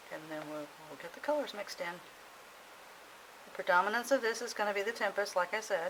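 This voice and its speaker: Over noticeable background noise, a woman speaks very fast at a medium pitch, her intonation lively and her pauses long and frequent. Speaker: soap maker. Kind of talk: tutorial. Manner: casual, thinking aloud.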